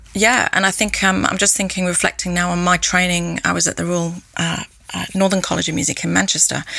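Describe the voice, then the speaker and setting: Noticeable background noise sits behind a woman whose fairly low voice moves at a fairly quick pace in a flat monotone. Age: 40s. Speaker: cellist and music teacher. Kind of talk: interview. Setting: video call.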